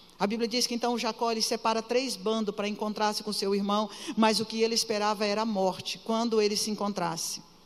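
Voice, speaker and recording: A woman with a fairly high voice talks fairly quickly while noticeable noise sounds behind her. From Pará, northern Brazil. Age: 50s. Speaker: pastor. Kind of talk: sermon. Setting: church. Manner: animated.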